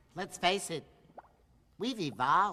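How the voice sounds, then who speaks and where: The put-on character voice sits at a middle pitch. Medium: short film.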